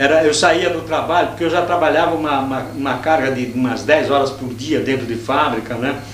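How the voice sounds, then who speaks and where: A man talks with fairly even intonation while audible room echo and noticeable background noise fill the recording. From Brazil, São Paulo state (Jundiaí, São Paulo city). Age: 60s. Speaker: anarchist activist. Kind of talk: interview. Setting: university archive room. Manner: halting, many self-corrections.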